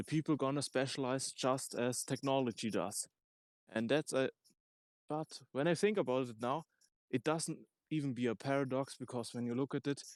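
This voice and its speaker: A man with a non-native accent speaks with ordinary pitch variation and long, frequent pauses, his voice dry and close with no echo. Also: medium pitch for a man, moderate pace. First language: not English. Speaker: discussion participant. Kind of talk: group discussion. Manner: halting.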